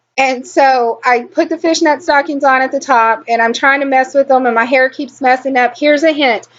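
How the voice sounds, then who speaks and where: A woman speaks with a strong Texan accent at a high pitch. Her pace is moderate and her intonation fairly even. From Texas. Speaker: beauty vlogger. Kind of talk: tutorial. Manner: slurred.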